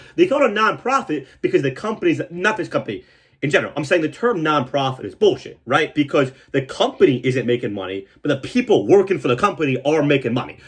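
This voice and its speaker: A man's animated, very fast delivery, fairly high with very wide pitch swings and vocal fry, hardly any pauses, against a quiet background. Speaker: comedian. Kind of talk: casual storytelling monologue.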